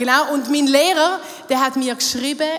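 Speaking at a moderate pace with ordinary pitch variation, a woman is heard over noticeable background noise and audible room echo. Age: 30s. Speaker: church youth worker. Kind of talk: sermon. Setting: stage with audience.

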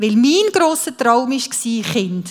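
This is a woman speaking. Her pitch is high. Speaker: speaker sharing life testimony. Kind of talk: testimony.

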